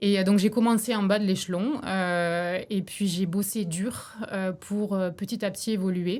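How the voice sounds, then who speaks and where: Her pace is fairly slow and her pitch medium. This woman keeps her intonation fairly even. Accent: slight southern French. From southern France (Béziers). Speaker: businesswoman, former corporate manager. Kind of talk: podcast interview.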